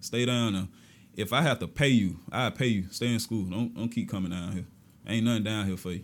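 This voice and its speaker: A fairly low-pitched male voice at a fairly quick pace, with ordinary pitch variation, on a very clean recording with a silent background. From Augusta, Georgia. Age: young. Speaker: schoolteacher. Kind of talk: casual interview.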